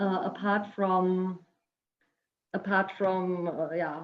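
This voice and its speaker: A woman with a non-native accent speaks at a medium pitch. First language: not English. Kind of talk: product presentation on video call panel. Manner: halting, many fillers.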